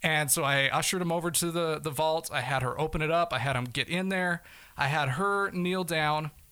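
With an ordinary speaking voice, a man talks at a fairly quick pace and fairly high pitch, his intonation fairly even, in a very clean recording with a silent background. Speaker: fugitive turned storyteller. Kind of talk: casual interview.

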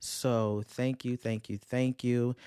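A man with a Louisiana accent speaks at a fairly slow pace in a dark, mellow tone. The sound is dry and close with no echo, and the recording is very clean with a silent background. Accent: Southern US (Louisiana). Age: 20s. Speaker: podcast host, counseling graduate student. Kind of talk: casual solo podcast monologue. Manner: animated.

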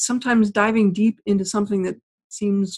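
A woman speaks at a fairly quick pace and medium pitch, with ordinary pitch variation. Her voice is somewhat breathy, with a dry, close sound and no echo. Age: 50s. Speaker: author. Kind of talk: interview.

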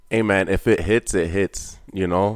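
A man with a Canadian accent speaks in a very deep, low voice with flat, monotone intonation. The recording is very clean, with a silent background. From Canada, Ontario. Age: 20s. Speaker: apprentice tradesman. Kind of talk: casual chat.

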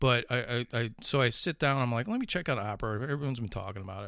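Medium-pitched male voice in a Chicago accent, ordinary pitch variation, very clean recording with a silent background. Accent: Chicago accent, still noticeable. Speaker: horror podcast host. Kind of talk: casual chat.

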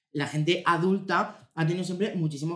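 This man speaks with a Murcian accent and an animated tone. His pitch is high and his pace moderate. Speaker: podcast co-host. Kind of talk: casual chat.

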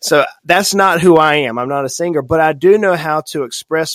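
Speaking at a moderate pace, a man has a slight Southern US accent. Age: 40s. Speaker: financial advisor. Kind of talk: podcast interview. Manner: animated.

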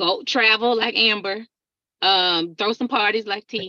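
Fairly slowly and in a Southern US accent, a woman speaks with a bright, sharp tone at a medium pitch and ordinary pitch variation. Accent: Southern twang. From Texas, Alabama and Atlanta.

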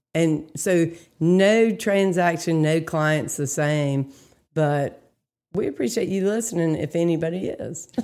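With an American accent and a normal speaking voice, a woman talks at a fairly slow pace and fairly low pitch with ordinary pitch variation, on a very clean recording with a silent background. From North Carolina, Greensboro. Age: 30s. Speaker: real estate agent. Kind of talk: casual chat.

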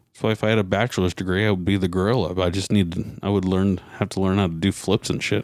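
This man's voice is very deep and low, with fairly even intonation at a very fast pace. The sound is dry and close, with no echo. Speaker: podcast host. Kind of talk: casual chat.

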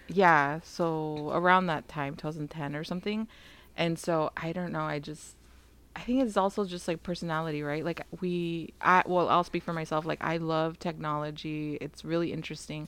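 A woman's ordinary speaking voice, fairly low in pitch, at a moderate pace with fairly even intonation, in a very clean recording with a silent background. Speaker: podcast co-host. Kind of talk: casual chat.

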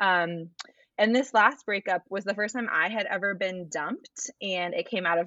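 With an American accent, a woman uses an ordinary speaking voice at a medium pitch, a moderate pace and ordinary pitch variation. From Arizona. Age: 20s. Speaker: church communications worker. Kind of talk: casual chat.

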